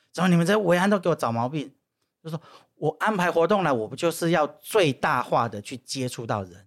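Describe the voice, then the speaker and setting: A normal speaking voice at a fairly quick pace, with lively intonation. The recording is very clean, with a silent background. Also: man, fairly high pitch for a man. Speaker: former political staffer and social entrepreneur. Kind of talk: casual interview chat.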